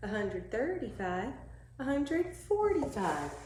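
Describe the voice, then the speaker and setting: Audible room echo accompanies a woman speaking at a fairly slow pace. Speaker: first grade teacher. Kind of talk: tutorial. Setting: at home. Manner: animated.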